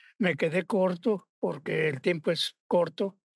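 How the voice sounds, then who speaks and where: A man with a high-pitched voice speaks at a fairly slow pace with ordinary pitch variation, his sound dry with no echo against a quiet background. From Mexico, Morelia (Michoacán); Michoacán, Mexico. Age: 80s+. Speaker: sculptor; guest. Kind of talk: interview. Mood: warm, reflective. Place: studio. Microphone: lapel.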